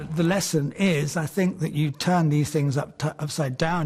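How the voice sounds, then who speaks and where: Here a man speaks at a moderate pace. His voice is somewhat breathy and fairly high in pitch. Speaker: antiques valuer and auctioneer. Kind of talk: TV antiques valuation.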